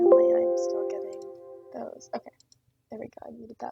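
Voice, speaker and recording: A soft-spoken woman is talking. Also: dry, close sound with no echo. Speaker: tech hobbyist video creator. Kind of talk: screen-recorded tutorial walkthrough. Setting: closet at client work site. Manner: halting, many fillers.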